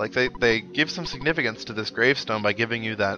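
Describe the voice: At a fast pace, a man speaks with fairly low pitch and a bright, sharp tone.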